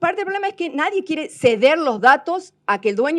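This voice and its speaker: Very wide pitch swings with a Córdoba Argentine accent, over a quiet background. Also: woman. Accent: Cordoba Argentine. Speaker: technology presenter. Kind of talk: seminar talk. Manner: hesitant, many fillers.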